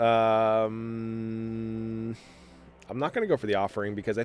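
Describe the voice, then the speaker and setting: A man's voice with music in the background. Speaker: gaming video creator. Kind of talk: gameplay commentary.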